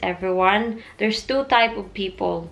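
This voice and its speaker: Speaking at a fairly slow pace, a woman with a Filipino accent keeps a medium pitch and ordinary pitch variation. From Philippines. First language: Tagalog. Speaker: vlogger. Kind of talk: casual vlog talk.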